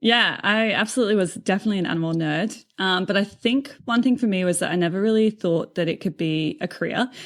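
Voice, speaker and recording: A woman at medium pitch with ordinary pitch variation, very fast pace and hardly any pauses, on a very clean recording with a silent background. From England (Cotswolds). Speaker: aquarium marine animal specialist. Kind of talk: podcast interview.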